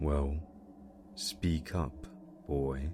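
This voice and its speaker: A man puts on a character voice with a very deep, low pitch. Clear background noise runs behind him. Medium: read story. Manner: menacing.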